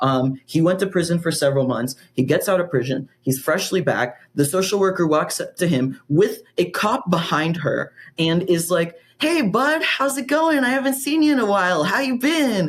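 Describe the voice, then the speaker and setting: A man with a high pitch and an animated tone talks at a moderate pace, his pitch swinging very widely with hardly any pauses. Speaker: activist. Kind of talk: casual interview.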